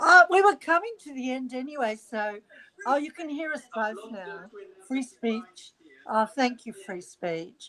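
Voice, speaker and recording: A woman with a high voice speaks fairly slowly in a raised, projected voice, with big swings in loudness and very wide pitch swings. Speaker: royal news livestream co-host. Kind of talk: casual chat. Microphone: headphones and mic muting problems.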